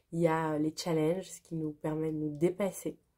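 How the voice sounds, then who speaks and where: Fairly low-pitched and dark, mellow in tone, a woman talks at a moderate pace. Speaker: spiritual channel host. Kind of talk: spontaneous spiritual vlog monologue.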